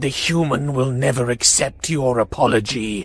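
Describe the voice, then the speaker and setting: A man in a put-on character voice, medium pitch, moderate pace. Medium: read story. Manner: anxious, agitated.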